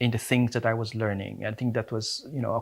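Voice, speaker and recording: A very clean recording with a silent background captures a man. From Philippines. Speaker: academic. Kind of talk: interview. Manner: hesitant, many fillers.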